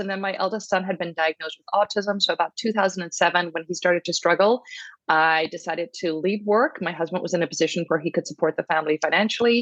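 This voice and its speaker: A woman's medium-pitched voice at a very fast pace, with ordinary pitch variation, a quiet background and a dry, close sound with no echo. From Ireland, Cork. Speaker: breathwork facilitator. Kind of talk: podcast interview.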